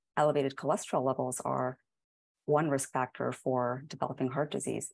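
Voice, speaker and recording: A woman with a very deep, low pitch and vocal fry talks at a moderate pace. Her intonation is fairly even, and the background is quiet. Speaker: guest. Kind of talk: interview answer. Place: home room. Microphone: earbuds.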